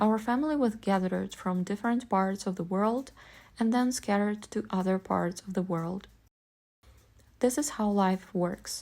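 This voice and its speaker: A woman speaks in a Russian accent with a dark, mellow tone, a medium pitch and ordinary pitch variation. Her pace is moderate, and the recording is very clean with a silent background. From Ukraine, Vinnytsia. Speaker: vlogger. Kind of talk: personal essay monologue.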